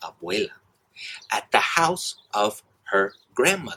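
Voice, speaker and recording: A man speaks with an American accent. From US South, South Carolina. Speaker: English teacher. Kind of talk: scripted narration.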